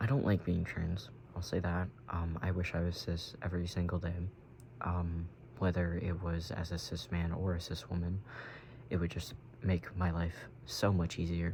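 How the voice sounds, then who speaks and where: Somewhat breathy, a man speaks in a very deep, low pitch with fairly even intonation. His pace is moderate, broken by long, frequent pauses. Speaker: vlogger. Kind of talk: casual chat. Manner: halting.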